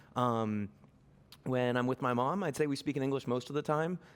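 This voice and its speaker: With an American accent and a normal speaking voice, a man at medium pitch talks at a fairly quick pace in a very clean recording with a silent background. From Boston, Argentinian family. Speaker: businessman, panel guest. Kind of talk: panel discussion. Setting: stage with audience.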